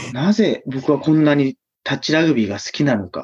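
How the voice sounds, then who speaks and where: Pitched fairly high, a man's voice proceeds at a moderate pace. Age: 30s. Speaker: touch rugby player and step instructor. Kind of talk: interview.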